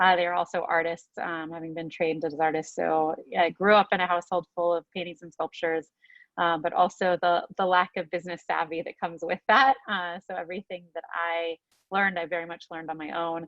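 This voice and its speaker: Speaking with a Southern California accent, a woman has a fairly low pitch and a monotone, flat intonation. She talks at a fairly quick pace, and her loudness swings widely. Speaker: startup CEO. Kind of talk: webinar presentation. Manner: many filler words.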